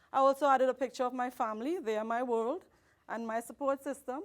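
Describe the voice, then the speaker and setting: Her pitch high and its variation ordinary, a woman speaks at a very fast pace on a very clean recording with a silent background. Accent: non-native. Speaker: high school math teacher. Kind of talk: conference presentation.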